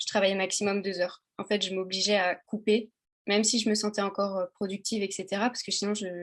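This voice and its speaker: The woman's pitch sits in the middle range. She talks fairly quickly. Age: 20s. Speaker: exam graduate giving advice. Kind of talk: casual chat. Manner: hesitant, many fillers.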